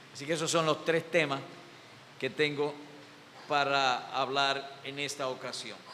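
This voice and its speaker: With audible room echo and noticeable background noise, a man speaks at a fairly slow pace in a fairly high pitch. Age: 70s. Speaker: pastor. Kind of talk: sermon.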